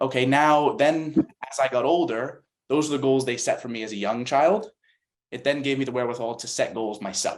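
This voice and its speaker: At a fairly quick pace, a man with an American accent talks in an ordinary speaking voice at medium pitch. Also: ordinary pitch variation. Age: 20s. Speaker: CP soccer national team player. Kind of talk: panel discussion.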